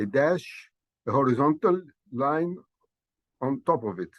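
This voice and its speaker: A man with an Arabic accent speaks at a very slow pace and a fairly high pitch. The sound is dry and close, with no echo. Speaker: language teacher. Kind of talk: lecture. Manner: halting, many fillers.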